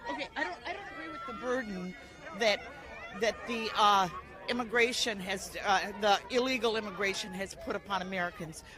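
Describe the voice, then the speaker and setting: A woman talks at a fairly quick pace with fairly high pitch, lively intonation and big swings in loudness. Crowd noise fills the background. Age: 70s. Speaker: protester at a political rally. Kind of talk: street interview. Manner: halting, many repetitions.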